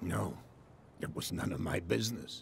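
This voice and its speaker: A man puts on a raspy character voice at a moderate pace. Clear background noise is present. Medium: video game. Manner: polite, measured.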